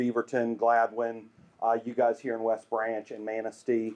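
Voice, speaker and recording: A man with a Southern US accent, speaking at a fairly slow pace. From US South, Greenville, South Carolina. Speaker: urban planning and branding consultant. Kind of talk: public presentation.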